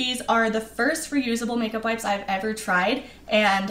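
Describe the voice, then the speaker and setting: A woman at a fairly quick pace, with ordinary pitch variation and audible room echo. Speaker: travel vlogger. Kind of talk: tutorial. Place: home room.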